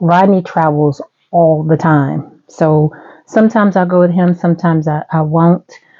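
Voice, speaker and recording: This woman's pitch sits fairly low. She talks at a fairly slow pace. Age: 60s. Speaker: vlogger. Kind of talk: casual chat. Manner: animated.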